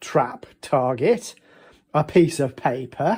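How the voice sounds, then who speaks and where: A man's dark, mellow voice moves through very wide pitch swings. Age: 60s. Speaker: gunsmith. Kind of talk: casual talk to camera.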